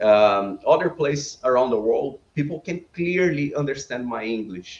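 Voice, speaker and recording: A man's fairly high voice with a Brazilian accent. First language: Portuguese. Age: 30s. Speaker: business owner. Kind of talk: podcast interview.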